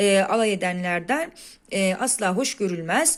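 A woman is speaking at a fairly slow pace. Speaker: teacher. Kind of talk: exam solution tutorial.

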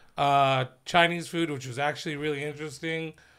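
The speaker has an American accent, and the background is quiet. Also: man. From Riverside, Southern California; California. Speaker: comedian co-host; podcast host or guest. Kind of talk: casual chat. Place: studio. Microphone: studio mic.

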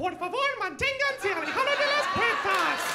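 Over loud background noise, someone performs a put-on character voice at a moderate pace. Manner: sarcastic corporate cheer.

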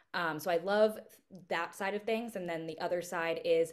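A woman talks at a moderate pace with ordinary pitch variation over a quiet background. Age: 20s. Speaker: podcast host. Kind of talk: casual solo talk. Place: home room. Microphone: webcam.

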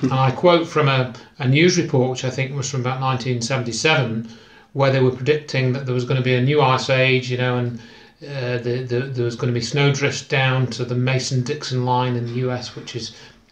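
Audible room echo around a man speaking at a moderate pace with monotone, flat intonation. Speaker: interviewee. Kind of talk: interview answer. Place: home room.

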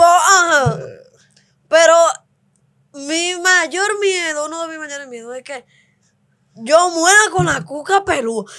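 Over a quiet background, a woman speaks in a raised, projected voice at an extremely high pitch, bright and sharp in tone, very slow with long, frequent pauses, ordinary pitch variation and big swings in loudness. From Dominican Republic, Cibao countryside; Dominican Republic. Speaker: host's wife; podcast guest. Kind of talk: casual chat with her husband. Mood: playful, laughing storytelling. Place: studio. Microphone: studio mic.

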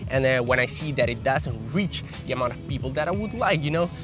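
A man's fairly high voice with ordinary pitch variation, dry with no echo, over clear background music. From Aruba. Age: 20s. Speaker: fitness YouTuber and personal trainer. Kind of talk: casual talk to camera. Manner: frank, blunt. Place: garden. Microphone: lapel.

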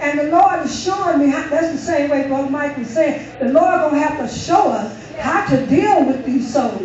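Over noticeable background noise, a high-pitched woman talks at a moderate pace with hardly any pauses and ordinary pitch variation. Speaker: church member leading closing prayer. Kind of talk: closing prayer. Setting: church.

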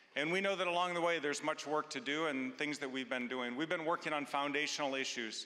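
His tone comes across bright and sharp as the man speaks. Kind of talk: church announcement address. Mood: warm, reassuring. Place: stage. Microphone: handheld.

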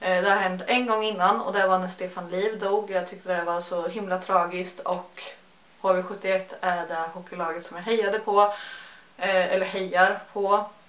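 Audible room echo surrounds a voice with monotone, flat intonation at a fairly slow pace. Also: woman. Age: 20s. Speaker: beauty YouTuber. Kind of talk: casual chat. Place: home room. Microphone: phone near.

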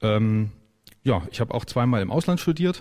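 A man speaks at a fairly quick pace against a quiet background. His voice is somewhat breathy, with a dark, mellow tone. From Thuringia, Saalfeld area, Germany; Thuringia, Germany. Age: 40s. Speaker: political candidate; candidate. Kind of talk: radio talk interview. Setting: radio studio. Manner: hesitant, many fillers. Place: studio.

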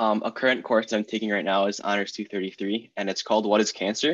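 A man speaks at a very fast pace in a fairly low voice. The background is quiet. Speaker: college student. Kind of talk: casual Q&A panel. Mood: friendly, informal. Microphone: video call.

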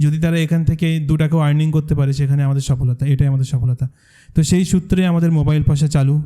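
This man has a fairly high pitch, a dark, mellow tone, some breathiness, monotone, flat intonation and very even loudness. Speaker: content creator and course co-founder. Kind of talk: presentation to audience.

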